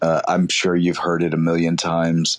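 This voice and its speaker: A man's voice, dry and close with no echo, against a quiet background. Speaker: caller asking a question. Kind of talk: casual Q&A on audio chat. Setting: audio chat room app. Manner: halting, many fillers.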